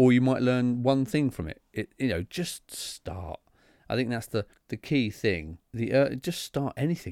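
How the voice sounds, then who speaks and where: This man's medium-pitched voice carries lively intonation at a fairly slow pace, captured dry and close with no echo. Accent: British. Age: 30s. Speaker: podcast host. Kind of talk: solo monologue podcast. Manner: conversational with frequent hesitations.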